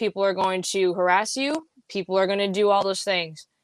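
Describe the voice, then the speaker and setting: In an unremarkable speaking voice, a woman talks at a fairly quick pace with ordinary pitch variation. The sound is dry and close, with no echo. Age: 20s. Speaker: podcaster guest. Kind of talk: casual interview chat.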